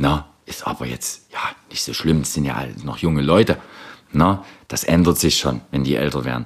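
With a very deep, low pitch, a man speaks at a moderate pace and with ordinary pitch variation. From Saxony, eastern Germany. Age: 30s. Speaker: social worker. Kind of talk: interview testimony.

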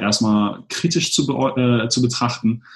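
Here a man talks at medium pitch. His voice is somewhat breathy. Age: 30s. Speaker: blogger and digital nomad. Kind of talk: interview.

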